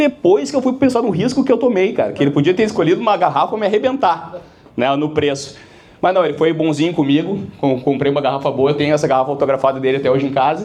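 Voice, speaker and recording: This voice races at a very fast pace with very wide pitch swings and very even loudness, in a Porto Alegre accent. Audible room echo surrounds it. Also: man, fairly high pitch for a man. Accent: Porto Alegre (gaúcho) accent, retained. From Brazil, Porto Alegre (Rio Grande do Sul). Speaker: business speaker, sales company founder. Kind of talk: keynote talk to business audience. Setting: stage with live audience. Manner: casual, conversational, with many fillers.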